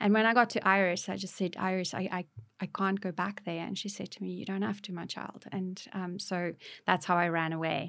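Speaking at a fairly quick pace in a South African accent, a woman with a medium pitch keeps a monotone, flat intonation on a very clean recording with a silent background. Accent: South African Afrikaans. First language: Afrikaans. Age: 50s. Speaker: author. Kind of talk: interview testimony. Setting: studio.

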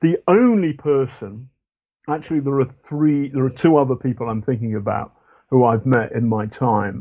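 A moderate pace in a British accent. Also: man, medium pitch for a man, ordinary pitch variation. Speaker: investigative journalist. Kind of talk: interview conversation. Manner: halting.

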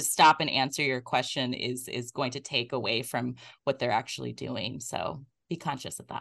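This is a woman speaking. The background is quiet. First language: not English. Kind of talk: casual chat, explaining set etiquette.

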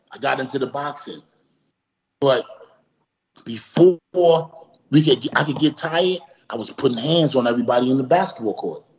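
In a New York accent, a man with a fairly high voice speaks at a moderate pace with ordinary pitch variation, big swings in loudness, and long, frequent pauses. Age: 40s. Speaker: professional boxer. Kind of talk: casual interview. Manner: animated.

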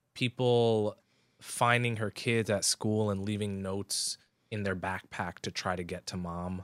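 A man's fairly low voice at a fairly slow pace, on a very clean recording with a silent background. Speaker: podcaster. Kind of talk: casual chat.

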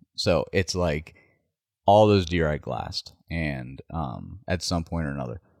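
With an American accent, a man's very deep, low voice carries vocal fry at a fairly slow pace, his pitch varying an ordinary amount, in a dry, close recording with no echo that is very clean with a silent background. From West Virginia. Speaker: deer hunter. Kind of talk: casual chat.

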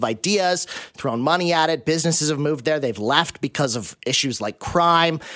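A man speaks with an ordinary speaking voice at a moderate pace. His pitch is fairly high, with ordinary pitch variation. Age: 40s. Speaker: guest radio host. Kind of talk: radio interview. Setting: radio studio.

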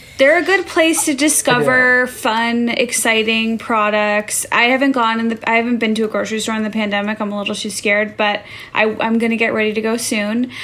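Over noticeable background noise, the speaker goes at a fairly quick pace with hardly any pauses and ordinary pitch variation. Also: woman, fairly high pitch for a woman. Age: 30s. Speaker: podcast co-host. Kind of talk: casual chat.

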